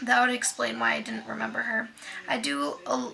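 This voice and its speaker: With audible room echo and noticeable background noise around her, a woman talks at a moderate pace. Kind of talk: reading aloud. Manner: halting.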